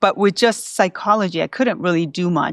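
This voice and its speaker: Recorded very cleanly against a silent background, a woman with vocal fry speaks with ordinary pitch variation in a dry, close sound with no echo. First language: Spanish. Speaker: school psychologist. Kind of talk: interview.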